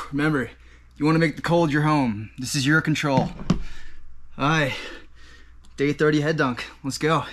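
A man delivers his words at a moderate pace and with fairly even intonation as noticeable background noise runs underneath. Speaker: fitness vlogger. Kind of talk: casual vlog chat.

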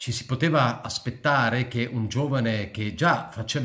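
Over a quiet background, a man speaks at a medium pitch. His intonation stays fairly even and his pace fairly slow. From born in Switzerland, returned to Italy at 14. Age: 60s. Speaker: political commentator / YouTuber; political commentator, YouTuber. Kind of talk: personal monologue to camera. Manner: halting, many fillers and repetitions. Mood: reflective, somber tribute. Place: home room. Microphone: phone near.

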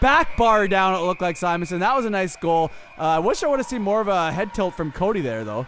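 A man speaks in an animated tone, his voice pitched high. He talks very fast with lively intonation. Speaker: commentator. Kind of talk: sports commentary, play-by-play of a recreational hockey game. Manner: animated, quick play-by-play calls, jokey and teasing; excitable on goals, casual banter with co-host.

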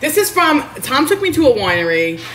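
Pitch swinging very widely, a woman with a New York accent speaks with audible room echo and light background noise. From Queens, New York. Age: 30s. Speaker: home cook livestreamer. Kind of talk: casual cooking livestream. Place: kitchen. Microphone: phone near.

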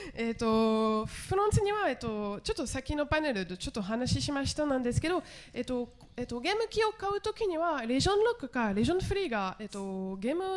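A woman with a French accent speaks very fast at high pitch, her pitch swinging very widely. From France. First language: French (speaking Japanese). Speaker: TV journalist and director; conference panelist. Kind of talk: conference panel discussion. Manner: halting, many fillers. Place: hall. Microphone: handheld.

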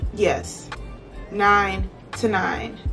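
Faint music can be heard behind the voice. The speaker is a woman. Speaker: beauty vlogger. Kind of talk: casual storytime vlog chat. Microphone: phone near.

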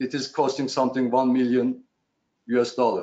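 A man's medium-pitched voice with a Turkish accent. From Turkey. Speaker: shipowner. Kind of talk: panel presentation. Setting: video call. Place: office. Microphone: headset.

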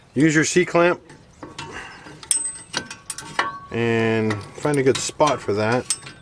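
A man talks with lively intonation. Noticeable background noise runs under his voice. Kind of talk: tutorial. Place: street.

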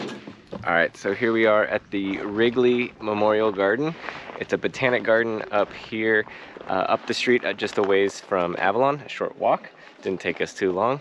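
A man at a moderate pace with ordinary pitch variation, light background noise and a dry sound with no echo. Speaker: travel vlogger. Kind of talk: casual vlog chat, explaining plants. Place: garden. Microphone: phone near.

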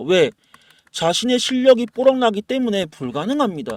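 An animated voice with very wide pitch swings comes through with a dry, close sound and no echo. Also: man. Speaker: stock market YouTuber. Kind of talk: stock analysis and sales pitch. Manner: animated, fast.

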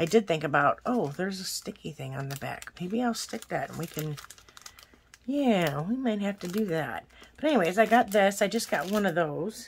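A woman's lively intonation at a moderate pace, with big swings in loudness and light background noise. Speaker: planner haul vlogger. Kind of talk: casual vlog chat. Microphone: phone near.

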